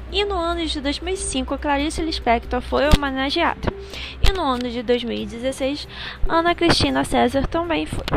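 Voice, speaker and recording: Noticeable noise sits in the background. A woman talks at a fairly slow pace. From Rio de Janeiro, Brazil. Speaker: student. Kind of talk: school podcast presentation. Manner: reading from a script.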